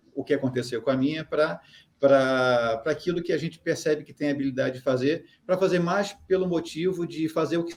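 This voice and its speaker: A fairly high male voice with a slight Carioca accent and ordinary pitch variation. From Brazil, Rio de Janeiro. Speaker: human behaviour consultant. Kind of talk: interview. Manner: hesitant, filler-heavy.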